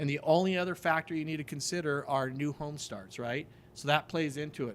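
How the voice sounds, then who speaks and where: A man's plain, everyday voice, fairly high in pitch, with ordinary pitch variation at a fairly quick pace. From Denver, Colorado. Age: 50s. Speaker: real estate investor. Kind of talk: casual interview chat.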